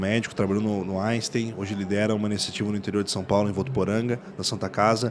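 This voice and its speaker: With audible room echo, a man talks very fast in a fairly low pitch and fairly even intonation. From Rio Grande do Sul, Brazil. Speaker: startup founder and CEO. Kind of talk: podcast interview. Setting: podcast booth at a conference.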